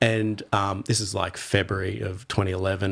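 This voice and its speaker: A man speaks with an Australian accent at a moderate pace, his pitch fairly low. The recording is very clean, with a silent background. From Australia, Torquay, Victoria. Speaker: surfer and surf club member. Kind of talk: casual chat.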